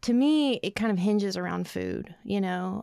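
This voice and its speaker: In a very clean recording with a silent background, a woman with an Arkansas accent speaks at a fairly slow pace. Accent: Arkansas Southern. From Arkansas, rural Ozarks (Calico Rock area). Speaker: poet. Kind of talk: casual interview chat; poetry reading. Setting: studio.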